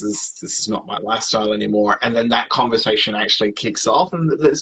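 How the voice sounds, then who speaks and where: An Australian accent at a moderate pace. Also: man. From Australia, Sydney. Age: 30s. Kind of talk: casual interview. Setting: livestream video call.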